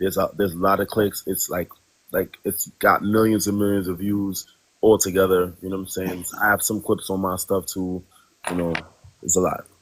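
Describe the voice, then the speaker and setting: A man with a New York accent talks at a moderate pace in a very deep, low pitch. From New York, Brooklyn. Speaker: live stream panel guest. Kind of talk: casual chat. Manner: animated, repetitive fillers.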